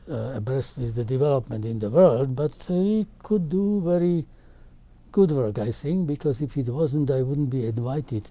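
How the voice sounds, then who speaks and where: The speaker has a Slovak accent. The pace is moderate. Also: man, fairly high pitch for a man. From Czechoslovakia. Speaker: carbohydrate chemist. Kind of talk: interview answer.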